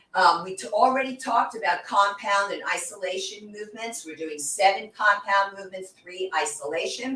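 Noticeable background noise accompanies the voice. It keeps a moderate pace with ordinary pitch variation. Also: woman. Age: 60s. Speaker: fitness instructor. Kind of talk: guided workout demonstration. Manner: instructional, encouraging.

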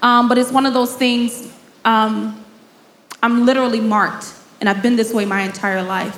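A woman talks at a moderate pace and a fairly high pitch, her intonation fairly even, with long, frequent pauses. Audible room echo and noticeable background noise surround her. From Chicago, South Side. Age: 30s. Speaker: nonprofit founder and business mentor. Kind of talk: live interview before audience. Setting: stage with live audience.

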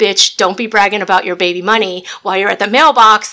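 Putting on a character voice, a woman speaks at a very fast pace in a medium pitch with fairly even intonation. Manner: sassy, scolding.

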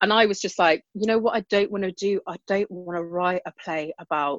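A woman speaks with a British accent and ordinary pitch variation. The sound is dry and close with no echo, against a quiet background. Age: 30s. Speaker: comedian. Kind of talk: casual chat.

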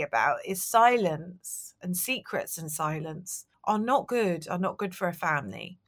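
A woman with a southern English accent speaks with lively intonation. The recording is very clean, with a silent background. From London. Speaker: novelist and book publicist. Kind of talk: interview. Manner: hesitant.

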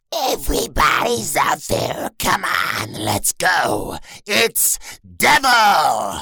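A man puts on a raspy character voice. He speaks at a very slow pace. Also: fairly high pitch for a man. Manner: sinister, evil, hyped up.

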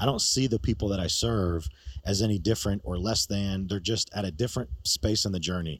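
With an American accent, this is an unremarkable speaking voice, using ordinary pitch variation at a fairly quick pace. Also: man. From New York.

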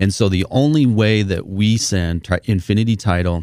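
With an American accent, a man speaks in a fairly low voice with a dark, mellow tone and ordinary pitch variation. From Southern Utah, St. George. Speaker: title company president. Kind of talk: radio interview.

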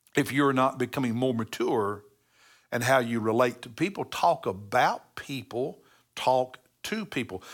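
Recorded very cleanly against a silent background, a man with an American accent uses a normal speaking voice at medium pitch, a fairly slow pace, and ordinary pitch variation. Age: 60s. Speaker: pastor. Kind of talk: devotional Bible teaching. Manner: conversational with self-corrections.

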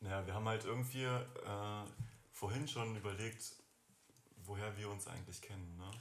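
With long, frequent pauses and fairly even intonation, a man talks at a moderate pace amid audible room echo. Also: fairly low pitch for a man. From Germany, Göttingen. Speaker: school friend of host. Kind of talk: casual chat.

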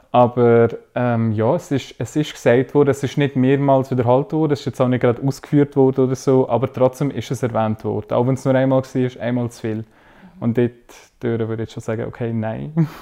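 A man speaks at a medium pitch with a dark, mellow tone and fairly even intonation against a quiet background. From Switzerland, Arbon (Thurgau). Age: 20s. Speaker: social work student. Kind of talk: casual discussion.

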